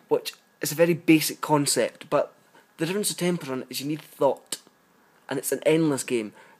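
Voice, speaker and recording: A man with a British accent talks at a fairly quick pace, his pitch fairly high with ordinary variation. Long pauses come often. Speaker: app reviewer. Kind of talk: casual review monologue.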